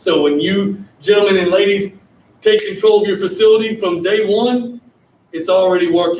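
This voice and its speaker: A man with a Southern US accent talks loudly at a moderate pace in a high pitch. His intonation is lively, with noticeable background noise behind him. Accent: US South. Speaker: sales presenter. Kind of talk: sales pitch. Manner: animated.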